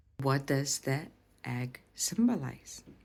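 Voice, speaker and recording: A woman speaks at a fairly slow pace in a Lithuanian accent. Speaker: language and culture teacher. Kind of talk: educational presentation.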